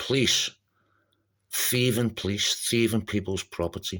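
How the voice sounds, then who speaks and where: A man with a Scouse accent on a very clean recording with a silent background. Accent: Scouse (Liverpool English). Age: 50s. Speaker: activist vlogger. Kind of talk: personal monologue. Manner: halting, repetitive.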